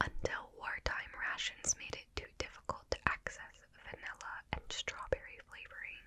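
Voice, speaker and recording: Whispering at a fairly slow pace, a woman can be heard through noticeable background noise. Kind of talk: ASMR rambling. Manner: whispered; soft-spoken.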